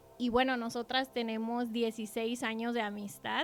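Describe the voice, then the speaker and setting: A woman talks at a fairly high pitch while music plays behind her. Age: 30s. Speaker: shoe business owner giving testimony. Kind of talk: testimony.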